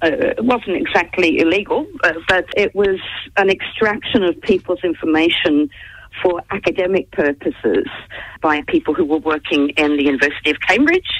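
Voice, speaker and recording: A moderate pace carries the speech, and the background is quiet. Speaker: interview guest, journalist. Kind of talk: interview answer. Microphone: phone line.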